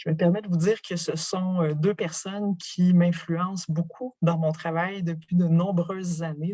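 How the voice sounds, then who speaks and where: A woman talks at a very slow pace in a fairly low pitch. Her tone is dark and mellow, and somewhat breathy. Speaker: professor. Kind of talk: lecture.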